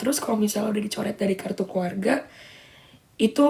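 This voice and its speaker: A woman at medium pitch over noticeable background noise. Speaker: social media livestreamer. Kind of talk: casual livestream chat. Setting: live stream.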